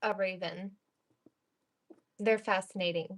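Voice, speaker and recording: A woman with a Northeastern US accent, very slow in pace and monotone, flat in intonation. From New York/New Jersey border, US. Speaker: stream co-host. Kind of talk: casual live stream chat. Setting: live stream.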